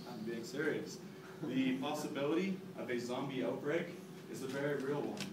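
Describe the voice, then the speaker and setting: The speech moves at a moderate pace amid audible room echo and noticeable background noise. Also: man. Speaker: presenter. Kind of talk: class presentation. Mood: mock-serious, humorous. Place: classroom. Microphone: camera far.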